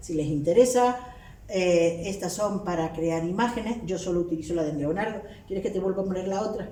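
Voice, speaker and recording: Over noticeable background noise and audible room echo, a woman with a Canarian accent speaks at a moderate pace with ordinary pitch variation. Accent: Canarian Spanish, retained. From Canary Islands. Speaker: linguistics professor. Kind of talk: academic lecture.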